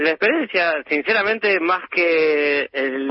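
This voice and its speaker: In a Rioplatense accent, a man speaks with lively intonation. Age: 30s. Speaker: intensive care doctor. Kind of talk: radio interview.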